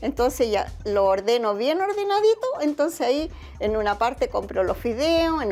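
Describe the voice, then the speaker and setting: Speaking at a moderate pace with a Chilean accent, a woman uses a high pitch with very wide pitch swings. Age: 70s. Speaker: retiree interviewed at home. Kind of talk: casual interview.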